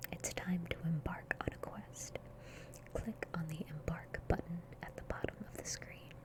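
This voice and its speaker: A whisper moves at a fairly slow pace while noticeable background noise is heard. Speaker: ASMR gaming YouTuber. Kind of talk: soft-spoken gaming commentary. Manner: soft-spoken, whispery.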